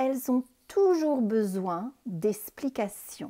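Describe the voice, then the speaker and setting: Woman with a dark, mellow tone, very wide pitch swings and a very slow pace. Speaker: French teacher. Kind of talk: slow reading aloud for pronunciation practice.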